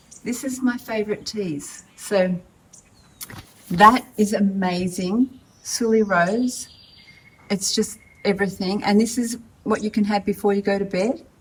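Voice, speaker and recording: A woman with an Australian accent, medium pitch and fairly even intonation, at a fairly slow pace with long, frequent pauses, over noticeable background noise. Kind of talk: casual talk to camera.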